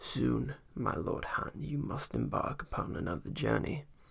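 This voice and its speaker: Putting on a raspy character voice, a man talks at a medium pitch and a moderate pace. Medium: read story. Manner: vague, detached.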